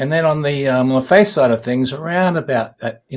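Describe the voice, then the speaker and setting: Here a man talks in an Australian accent. He keeps a fairly quick pace and ordinary pitch variation. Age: 60s. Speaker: musician. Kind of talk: interview. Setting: podcast interview.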